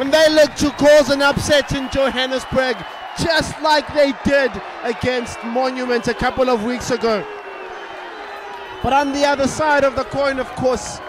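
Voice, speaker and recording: The intonation is fairly even at a moderate pace. The sound is dry with no echo, and there is noticeable background noise. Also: man, extremely high pitch for a man. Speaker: sports commentator. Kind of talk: commentary.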